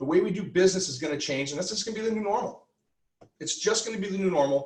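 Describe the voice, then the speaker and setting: The man speaks loudly, his pitch high. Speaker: real estate team leader and trainer. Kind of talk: training lecture.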